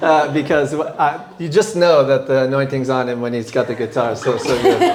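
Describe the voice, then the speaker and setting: There's noticeable background noise and audible room echo as a man talks at a fairly slow pace. His pitch is fairly high, with ordinary pitch variation. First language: English (speaking French). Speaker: guest preacher. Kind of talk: sermon. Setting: church.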